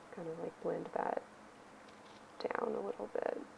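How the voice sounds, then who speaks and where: A woman talks at a moderate speed while noticeable background noise carries on behind her. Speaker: art teacher. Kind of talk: tutorial. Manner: casual, filler-heavy.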